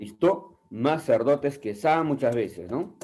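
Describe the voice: A man speaks slowly at a medium pitch with lively intonation. His tone is dark and mellow, with a slightly husky edge.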